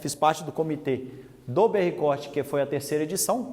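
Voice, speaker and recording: A man with a Minas Gerais accent speaks at a moderate pace. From Minas Gerais, Brazil. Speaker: animal scientist and industry technical manager. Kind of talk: lecture. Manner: talkative.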